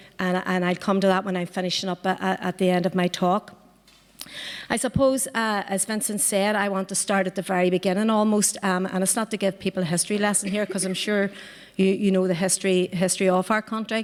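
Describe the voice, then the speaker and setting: A woman talks at a fairly quick pace in a medium pitch with monotone, flat intonation over noticeable background noise. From Northern Ireland, Belfast. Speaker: political party member, activist. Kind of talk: panel talk. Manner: halting, many fillers and repetitions.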